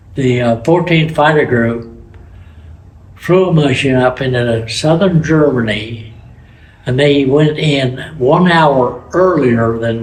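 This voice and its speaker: Audible room echo colors the recording of a man speaking at a medium pitch. He goes at a very slow pace with ordinary pitch variation. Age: 80s+. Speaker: war veteran. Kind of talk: testimony. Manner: halting.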